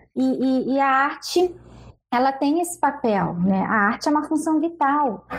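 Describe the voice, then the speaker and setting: Against a quiet background, a woman with a high pitch speaks fairly slowly, with lively intonation and very even loudness. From Rio de Janeiro. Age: 40s. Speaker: web show host. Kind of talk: casual chat.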